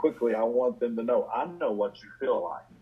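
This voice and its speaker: Noticeable background noise runs through the clip. A man is talking. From southern West Virginia. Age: 60s. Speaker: addiction physician and author. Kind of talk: interview.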